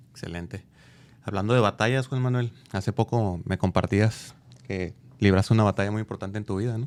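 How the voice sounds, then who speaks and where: A man with an unremarkable speaking voice, fairly low pitch and a fairly quick pace, on a very clean recording with a silent background. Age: 40s. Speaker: podcast host. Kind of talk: interview.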